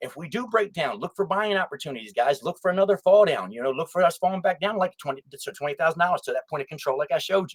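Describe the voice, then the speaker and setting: A man's high, animated voice at a very fast pace, with lively intonation, big swings in loudness, and a dry, close sound with no echo. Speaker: crypto YouTuber. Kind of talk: casual market analysis video. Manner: halting, stuttering and jumping around.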